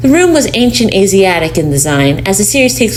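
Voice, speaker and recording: Noticeable background noise sits behind a woman at a medium pitch. She talks at a fairly quick pace with very wide pitch swings. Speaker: voice actor. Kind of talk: horror story reading.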